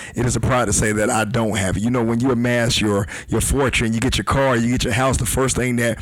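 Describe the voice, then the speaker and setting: A man at medium pitch rattles along at a very fast pace with fairly even intonation, and audible room echo surrounds him. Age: 40s. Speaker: guest speaker. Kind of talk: casual chat.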